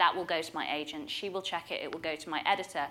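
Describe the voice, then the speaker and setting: Recorded very cleanly against a silent background, a woman with a northern English accent speaks in a bright, sharp tone with ordinary pitch variation. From Yorkshire, England. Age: 30s. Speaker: author. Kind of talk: casual interview chat.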